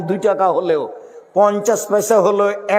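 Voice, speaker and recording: A man with a high pitch and ordinary pitch variation, against noticeable background noise. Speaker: Islamic preacher. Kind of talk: Bengali Islamic sermon (waz) to a live gathering. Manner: lecturing, rhetorical, emphatic.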